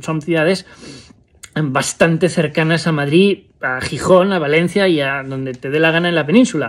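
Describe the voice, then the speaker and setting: His pitch is fairly high, and this man shows ordinary pitch variation. He speaks at a moderate pace. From Spain. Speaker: vlogger. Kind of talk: personal vlog monologue. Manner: halting, many fillers. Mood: reflective, somber at times. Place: home room. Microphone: phone near.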